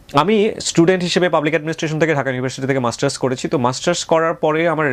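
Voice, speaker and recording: A man with ordinary pitch variation speaks in a plain, everyday voice. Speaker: radio host. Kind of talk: interview.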